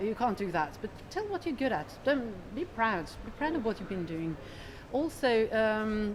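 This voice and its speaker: Noticeable background noise sits behind a woman's fairly high voice. She talks at a moderate pace with very wide pitch swings. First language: Norwegian. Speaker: economist, chief analyst. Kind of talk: interview. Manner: hesitant, many fillers.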